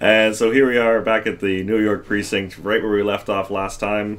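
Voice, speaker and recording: A man's normal speaking voice, fairly low in pitch, at a moderate pace. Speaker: gaming let's play commentator. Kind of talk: casual gameplay commentary.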